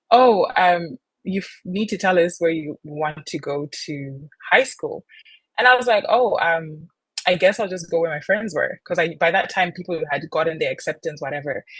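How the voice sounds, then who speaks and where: A woman's somewhat breathy, fairly low voice at a moderate pace, with ordinary pitch variation and a dry, close sound with no echo. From Zimbabwe. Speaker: content creator and model. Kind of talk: casual podcast interview. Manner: casual, with many fillers and restarts.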